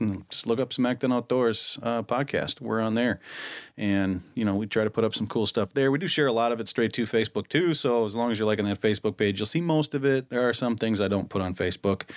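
A man's very fast talk with an American accent, on a very clean recording with a silent background. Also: medium pitch for a man, ordinary pitch variation. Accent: Minnesotan, noticed by others. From Minnesota. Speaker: podcast host. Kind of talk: casual chat. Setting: studio. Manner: laughs often.

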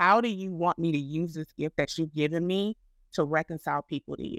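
A woman with an ordinary speaking voice and an American accent, fairly quick pace, ordinary pitch variation, very clean recording with a silent background, and a dry, close sound with no echo. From Florida. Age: 40s. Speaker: ministry founder. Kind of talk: casual interview.

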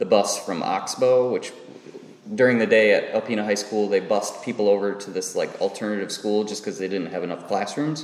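This is an ordinary speaking voice from a man with a fairly low pitch. His intonation is fairly even. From northern Michigan. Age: 30s. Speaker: musician. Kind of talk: casual chat. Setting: public library.

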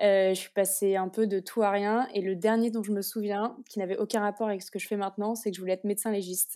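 Very fast and with hardly any pauses, a woman speaks at a medium pitch in a monotone, flat intonation, her tone dark and mellow, on a very clean recording with a silent background. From France, Orléans. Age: 20s. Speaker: business school graduate, master's student. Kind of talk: interview. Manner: hesitant, many fillers.

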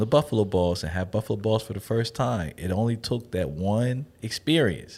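On a very clean recording with a silent background, a man with a plain, everyday voice speaks at a moderate pace, fairly low in pitch, with ordinary pitch variation. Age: 40s. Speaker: restaurant entrepreneur. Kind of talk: casual interview.

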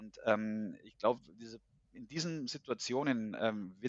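This man has an ordinary speaking voice at a medium pitch. His pitch varies in an ordinary way. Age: 40s. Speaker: HR consultant and agile coach. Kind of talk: casual interview.

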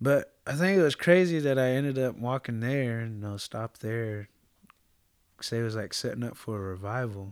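A man with a plain, everyday voice talks at a moderate pace, medium pitch and ordinary pitch variation. The recording is very clean with a silent background. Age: 20s. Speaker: actor and jiu-jitsu athlete. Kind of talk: casual interview chat.

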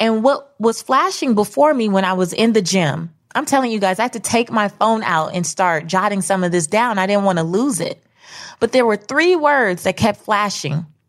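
Lively intonation and an animated tone at a moderate pace, in a very clean recording with a silent background. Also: woman, medium pitch for a woman. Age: 30s. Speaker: podcast host, personal finance author. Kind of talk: motivational solo monologue.

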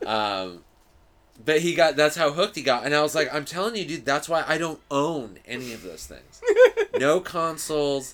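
This is a normal speaking voice with an American accent and lively intonation. It moves at a moderate pace with big swings in loudness. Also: man, fairly high pitch for a man. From US West, Los Angeles suburbs. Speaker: stand-up comedian. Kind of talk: casual chat.

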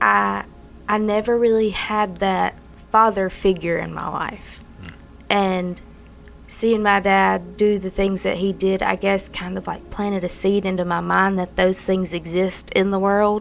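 Flat, monotone intonation from a woman at a fairly slow pace. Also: medium pitch for a woman. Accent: Mississippi. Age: 20s. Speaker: recovering addict sharing her story. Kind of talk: testimony.

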